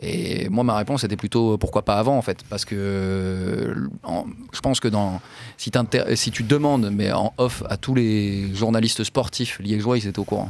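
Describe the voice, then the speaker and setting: A man speaks in a normal speaking voice, his pitch fairly low. His intonation stays fairly even at a fairly slow pace. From France. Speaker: investigative journalist and author. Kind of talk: interview. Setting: studio.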